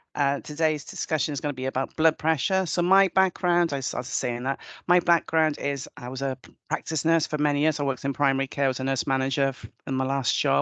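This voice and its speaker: With a Welsh accent, the speaker races along at a very fast pace using fairly even intonation. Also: woman, very deep, low pitch for a woman, dry, close sound with no echo, quiet background. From Wales. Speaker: nurse. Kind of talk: webinar presentation.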